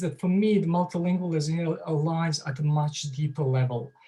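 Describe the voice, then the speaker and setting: A man speaks with a Bosnian accent at a fairly slow pace. His pitch is high. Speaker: author and associate professor. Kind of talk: lecture. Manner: halting, many fillers.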